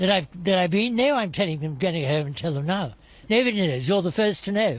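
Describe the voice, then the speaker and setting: Speaking very fast, a high-pitched man with a British accent uses lively intonation. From Britain. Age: 80s+. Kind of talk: interview answer. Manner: blunt, wry.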